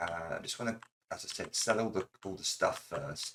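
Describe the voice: A man speaks at a moderate pace with lively intonation, a slightly husky edge and vocal fry.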